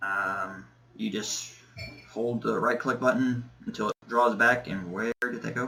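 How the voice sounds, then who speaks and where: A man at a fairly slow pace with fairly even intonation, long, frequent pauses, and noticeable background noise. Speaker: gaming youtuber. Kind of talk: gameplay commentary. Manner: hesitant, many fillers.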